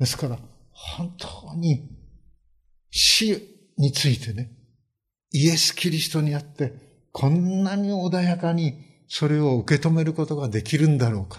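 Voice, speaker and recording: A man talks at a fairly slow pace with long, frequent pauses. His voice is fairly high in pitch and somewhat breathy. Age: 70s. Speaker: pastor. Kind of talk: sermon. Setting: church. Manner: many filler hesitations.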